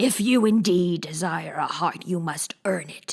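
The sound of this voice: This is a put-on character voice, gruff and growling. It moves at a moderate pace. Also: woman.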